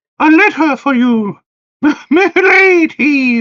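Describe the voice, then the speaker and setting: A put-on character voice, high in pitch, drawls out its words at a very slow pace. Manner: weird, put-on.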